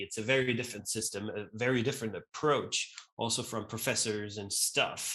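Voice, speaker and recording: At a fairly quick pace, a man with a medium pitch and a bright, sharp tone speaks with fairly even intonation. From Austria (Vienna, then Graz). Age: 40s. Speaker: event co-founder and CEO. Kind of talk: interview. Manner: casual, with many fillers and repetitions.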